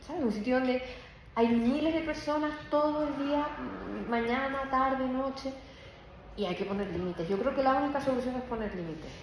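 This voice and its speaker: In a Canarian accent, a high-pitched woman speaks with an animated tone at a moderate pace, with long, frequent pauses, audible room echo and noticeable background noise. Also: lively intonation. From Canary Islands, Tenerife (Puerto de la Cruz). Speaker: law professor. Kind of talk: academic talk Q&A.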